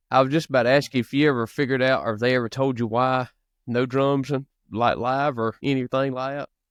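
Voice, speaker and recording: A man speaks at a very fast pace in a medium pitch, with monotone, flat intonation and a dry, close sound that has no echo. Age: 30s. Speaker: podcast host. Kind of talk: interview. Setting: podcast.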